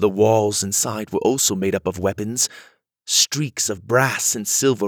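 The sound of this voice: An unforced reading voice, with ordinary pitch variation, is heard against a quiet background.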